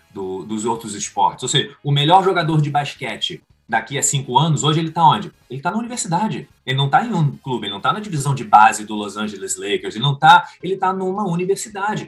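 Very fast, nearly pause-free speech from a man with a fairly high pitch, very wide pitch swings and vocal fry. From Rio de Janeiro, Brazil. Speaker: football coach. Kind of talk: interview.

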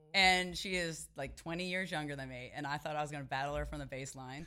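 A woman with an American accent talks at a very fast pace in a very deep, low pitch, with vocal fry, a bright, sharp tone and ordinary pitch variation. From Dallas area, Texas. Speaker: pickleball player. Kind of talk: casual chat.

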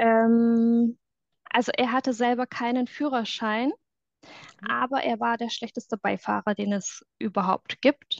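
Recorded dry and close with no echo over a quiet background, a woman speaks very slowly in a fairly high pitch with fairly even intonation. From southwestern Germany, near Stuttgart. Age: 30s. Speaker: former reality TV contestant. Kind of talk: testimony interview. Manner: hesitant, many filler sounds.

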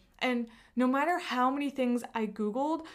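A woman talks at a moderate pace. Her voice is high-pitched. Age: 30s. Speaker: podcast host and entrepreneur. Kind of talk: solo podcast monologue.

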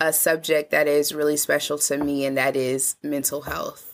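A woman talks at a moderate pace, captured on a very clean recording with a silent background. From Indianapolis, US Midwest. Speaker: journalist and community health worker. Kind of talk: casual interview conversation.

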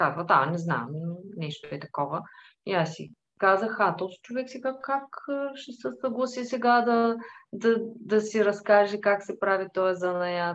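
With an ordinary speaking voice, a woman at a medium pitch talks at a fairly slow pace, her intonation lively and her loudness swinging widely. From Bulgaria, Tervel near Dobrich. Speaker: furniture workshop owner and icon maker. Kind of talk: interview. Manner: calm.

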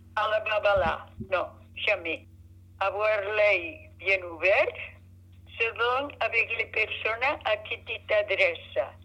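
A woman talks very slowly, leaving long, frequent pauses, as noticeable background noise carries on. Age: 80s+. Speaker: grandmother. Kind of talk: casual chat.

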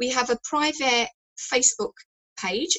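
The speaker has an English accent and a moderate pace. Pitch variation is ordinary. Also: woman. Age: 50s. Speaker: fitness expert. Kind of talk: radio interview.

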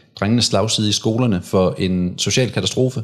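This man talks at a fairly slow pace with ordinary pitch variation, on a very clean recording with a silent background. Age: 30s. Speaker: men's rights activist and former soldier. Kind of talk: casual interview. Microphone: too far from the mic.

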